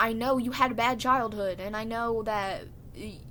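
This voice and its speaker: The intonation is monotone and flat, with a bright, sharp tone. Audible room echo surrounds the voice. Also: woman. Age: 20s. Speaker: vlogger. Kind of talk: casual monologue. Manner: quiet.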